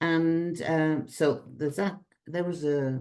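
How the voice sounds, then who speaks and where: Her voice has a very deep, low pitch and a dark, mellow tone. This woman speaks with a British accent. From Britain. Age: 70s. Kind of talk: conference talk.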